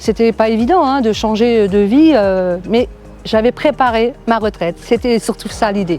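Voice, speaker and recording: Pitched fairly high, a woman talks fairly slowly, her pitch moving with ordinary variation. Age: 60s. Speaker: real estate agent. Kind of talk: testimony. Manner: hesitant, many fillers.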